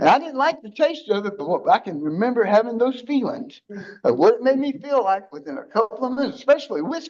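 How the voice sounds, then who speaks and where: Speaking at a very fast pace, a man with an extremely high pitch uses lively intonation and big swings in loudness. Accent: American. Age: 60s. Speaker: recovering addict sharing his story. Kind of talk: testimony. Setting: church recovery group. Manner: blunt, conversational.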